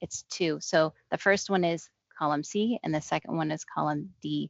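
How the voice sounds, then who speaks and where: At a moderate pace, a woman of fairly low pitch speaks in a plain, everyday voice with ordinary pitch variation. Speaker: Excel trainer. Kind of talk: tutorial.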